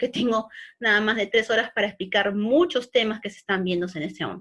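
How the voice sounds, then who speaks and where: A woman with a fairly high pitch on a very clean recording with a silent background. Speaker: online course instructor. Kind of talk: virtual class lecture. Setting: virtual class. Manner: fast.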